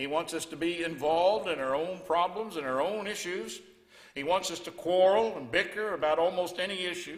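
A man talks at a high pitch, with the background quiet. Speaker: preacher. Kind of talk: sermon. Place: church. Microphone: headset.

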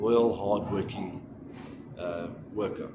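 Speaking at a fairly slow pace, a man is heard through noticeable background noise. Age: 30s. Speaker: job applicant, panel beater. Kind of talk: self-introduction video for job application. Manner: halting. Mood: earnest, polite. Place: home room. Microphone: phone near.

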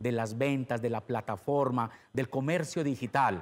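A man talks at a fairly slow pace, and all around him the background stays quiet. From Colombia. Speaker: interviewer, channel host. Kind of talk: interview. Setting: video call. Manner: animated. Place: studio. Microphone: lapel.

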